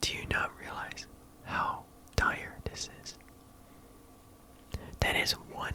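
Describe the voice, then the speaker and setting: A man whispers at a very slow pace. Background noise is noticeable throughout. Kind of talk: ASMR roleplay as a business executive, talking to the listener. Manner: soft-spoken, conversational, businesslike.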